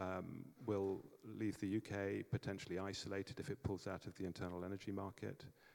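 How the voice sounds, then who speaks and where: Here a man with an English accent talks at a moderate pace in a fairly low voice with ordinary pitch variation. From England. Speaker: energy project developer, panelist. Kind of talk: conference panel talk. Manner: hesitant, many fillers.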